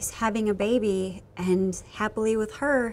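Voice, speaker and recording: A woman with fairly even intonation, over light background noise. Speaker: actress in a holiday film. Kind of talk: scripted drama dialogue. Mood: wistful, hurt, pleading. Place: street.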